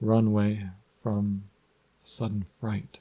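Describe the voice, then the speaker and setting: A man with a fairly low voice at a fairly slow pace. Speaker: hypnotist. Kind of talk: audiobook reading. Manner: slow, relaxing.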